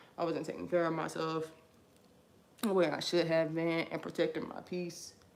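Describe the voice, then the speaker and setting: There is audible room echo around a woman with a fairly low pitch. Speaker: vlogger. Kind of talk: personal testimony while doing hair. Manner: fast; animated.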